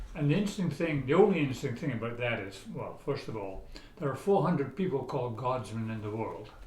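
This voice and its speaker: A man talks at a very fast pace with lively intonation and medium pitch. Noticeable background noise and audible room echo fill the recording. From Scotland, Aberdeen. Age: 80s+. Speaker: author and traveler. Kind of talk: casual interview.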